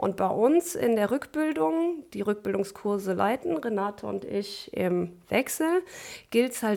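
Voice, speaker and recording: A woman's plain, everyday voice, fairly high in pitch, at a fairly slow pace. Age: 30s. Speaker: physiotherapist. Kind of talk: interview.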